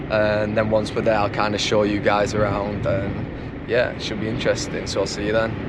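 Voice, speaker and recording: A man's medium-pitched voice amid noticeable background noise and audible room echo. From England. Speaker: travel vlogger. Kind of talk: travel vlog narration. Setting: in a car, then outdoors in a desert. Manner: casual, lots of fillers.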